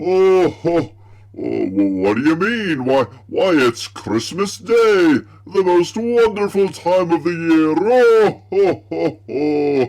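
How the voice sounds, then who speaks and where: Put-on character voice from a man, high-pitched, with very wide pitch swings at a very slow pace. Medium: solo performance. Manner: hearty ho-ho laughing.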